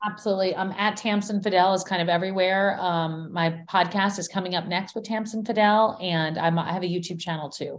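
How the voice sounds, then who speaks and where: In an ordinary speaking voice, a woman talks at a medium pitch. Her pace is fairly quick, with hardly any pauses. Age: 50s. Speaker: journalist and podcaster. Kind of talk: interview. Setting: remote call from home.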